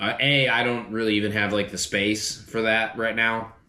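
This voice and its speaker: Audible room echo hangs around the man's voice. He talks at a medium pitch. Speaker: car DIY YouTuber. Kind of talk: casual vlog talk to camera. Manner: halting, repeats words.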